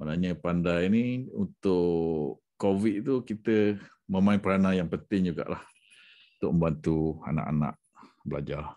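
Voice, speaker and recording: Over a quiet background, a man with a very deep, low pitch and a dark, mellow tone talks at a fairly slow pace with ordinary pitch variation. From Malaysia. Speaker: education sales consultant. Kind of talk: sales pitch. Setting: screen-share presentation. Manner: casual, with fillers. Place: home room. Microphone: webcam.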